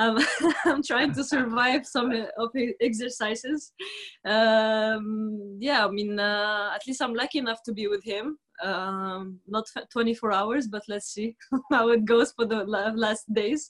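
Very slow speech from a woman, fairly high-pitched and with fairly even intonation. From Tunisia. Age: 20s. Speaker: professional tennis player. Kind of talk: casual chat. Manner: halting.

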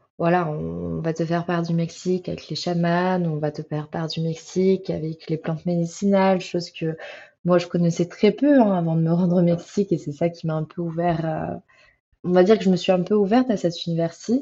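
A woman with a fairly low pitch speaks in a somewhat breathy voice with fairly even intonation. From France. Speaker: traveller. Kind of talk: interview. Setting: remote call.

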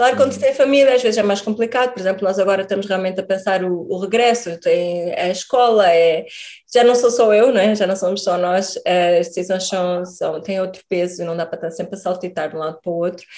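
An ordinary speaking voice moves at a fairly quick pace with hardly any pauses. Its pitch varies in an ordinary way. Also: woman, medium pitch for a woman. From Portugal. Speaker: emigrant biochemist. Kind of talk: interview.

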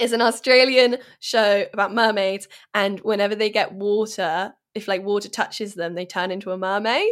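Her intonation fairly even and her pitch medium, a woman with an unremarkable speaking voice talks at a moderate rate. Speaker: podcast co-host. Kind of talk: casual chat and reading listener emails aloud. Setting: call.

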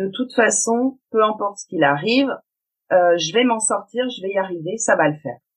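A woman with a plain, everyday voice, speaking at a fairly slow pace with lively intonation. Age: 40s. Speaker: self-employed cleaner and web entrepreneur, single mother. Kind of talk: testimony.

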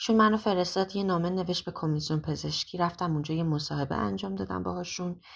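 A woman talks at a fairly quick pace. Her voice makes very wide pitch swings against a quiet background. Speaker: singer. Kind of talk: testimony.

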